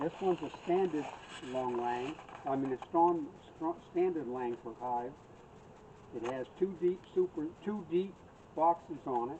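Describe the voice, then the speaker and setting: A fairly high-pitched man speaks at a fairly slow pace with long, frequent pauses and ordinary pitch variation, with noticeable background noise behind him. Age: 70s. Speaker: beekeeper. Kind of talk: casual chat. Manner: halting.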